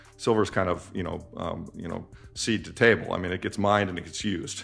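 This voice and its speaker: Music plays in the background as a man speaks. His pace is fairly quick and his intonation fairly even. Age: 60s. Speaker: investment fund manager. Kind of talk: interview. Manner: casual, with many fillers and repetitions.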